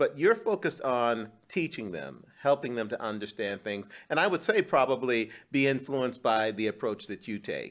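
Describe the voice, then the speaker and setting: A normal speaking voice from a man at medium pitch, moderate pace with hardly any pauses and lively intonation, on a very clean recording with a silent background. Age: 60s. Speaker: podcast host. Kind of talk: interview.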